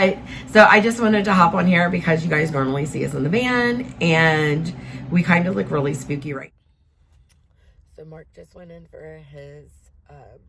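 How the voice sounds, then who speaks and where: A woman's fairly low voice at a moderate pace, with lively intonation, big swings in loudness, long and frequent pauses, and audible room echo. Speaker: vlogger caring for husband with cancer. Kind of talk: casual vlog talk to camera. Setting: in a van.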